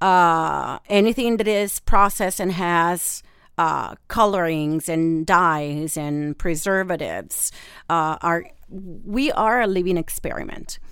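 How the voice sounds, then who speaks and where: A woman's fairly low voice with an Italian accent and ordinary pitch variation at a very slow pace, in a very clean recording with a silent background. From Italy, Rome. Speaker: holistic nutritionist. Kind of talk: expert interview. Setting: studio.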